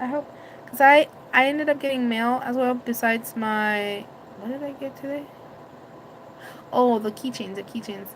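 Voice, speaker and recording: Loud and high-pitched, a woman speaks with fairly even intonation and long, frequent pauses over noticeable background noise. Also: moderate pace. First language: Spanish. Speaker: vlogger. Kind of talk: casual live stream chat. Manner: halting.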